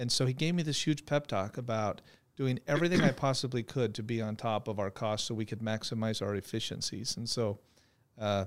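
Here a man with an American accent uses a normal speaking voice, with ordinary pitch variation at a fairly quick pace. The recording is very clean, with a silent background. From Phoenix, Arizona. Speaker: trucking company executive. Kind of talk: interview.

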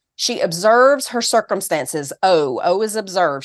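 A woman with a Southern US accent talks in an animated tone at a moderate pace. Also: quiet background. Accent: Southern US, noticeable. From Tennessee, US South. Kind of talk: interview.

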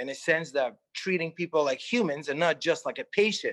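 A man talks at a fairly quick pace in a fairly high voice. His intonation is lively and his tone fairly bright.

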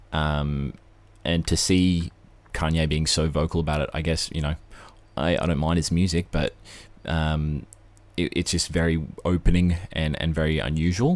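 Speaking with an Australian accent, a man uses a very deep, low pitch and flat, monotone intonation at a moderate pace. Long, frequent pauses break up his speech on a very clean recording with a silent background. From Australia, Brisbane. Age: 20s. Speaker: gaming podcast host. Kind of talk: casual chat.

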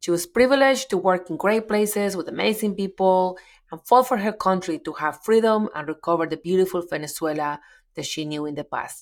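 Speaking at a fairly quick pace with a Colombian accent, a woman uses lively intonation and big swings in loudness. The recording is very clean, with a silent background. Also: medium pitch for a woman. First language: Spanish. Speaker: podcast host. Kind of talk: interview.

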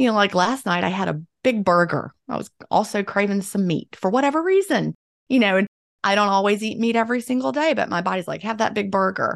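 The voice is a normal speaking voice with lively intonation. The sound is dry and close, with no echo. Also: woman. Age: 50s. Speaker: author and former teacher. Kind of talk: interview.

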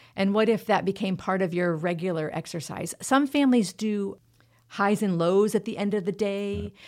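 On a very clean recording with a silent background, a woman speaks at a moderate pace in an unremarkable speaking voice, medium in pitch with ordinary variation. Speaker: member care coordinator. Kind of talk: interview discussing trauma.

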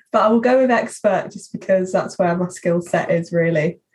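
Somewhat breathy, a woman's voice moves along at a medium tempo. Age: 20s. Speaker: social media marketing executive. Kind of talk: interview.

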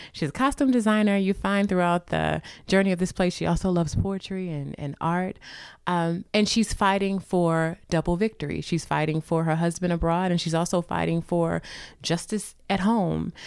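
Speaking with a St. Louis accent, a woman keeps a moderate pace and fairly even intonation. The recording is very clean, with a silent background. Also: fairly low pitch for a woman. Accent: Midwestern American (St. Louis). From St. Louis, Missouri. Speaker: theater professor and actor-director. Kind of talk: radio interview. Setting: radio studio.

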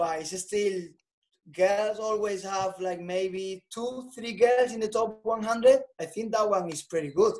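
The pace is fairly slow, with a Spanish accent. Loudness rises and falls in big swings. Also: man. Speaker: tennis coach. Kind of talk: podcast interview.

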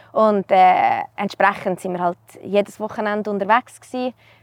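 In a dry, close recording with no echo, a woman speaks in an ordinary speaking voice at a medium pitch with fairly even intonation. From Switzerland, canton Uri (Erstfeld). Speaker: mountain guide trainee. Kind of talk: casual interview. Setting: outdoors.

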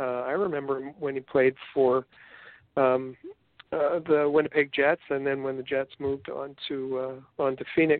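A man's fairly high voice in a Canadian accent, fairly slow and flat in a monotone. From Canada. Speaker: podcast co-host, sports editor. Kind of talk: casual chat. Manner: halting, many fillers and repetitions.

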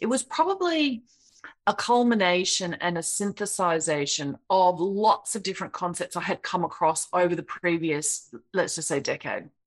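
Medium-pitched woman with an Australian accent, moderate pace and lively intonation. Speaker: software creator and speaker. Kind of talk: interview conversation. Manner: kind, gentle.

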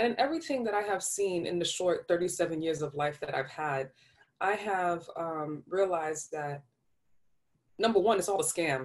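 The speaker has a New York accent and lively intonation. The pace is moderate, broken by long, frequent pauses. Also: woman, fairly low pitch for a woman. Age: 30s. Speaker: podcast host. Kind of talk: casual, slangy.

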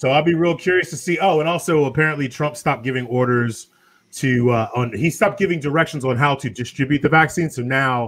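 A normal speaking voice with lively intonation at a fairly quick pace. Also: man. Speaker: podcast host. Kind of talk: casual chat.

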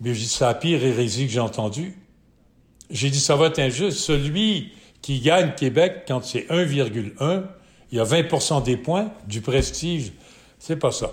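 Speaking very slowly with long, frequent pauses, a man with a fairly high, somewhat breathy voice uses lively intonation. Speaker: sports event founder and broadcaster. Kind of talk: interview.

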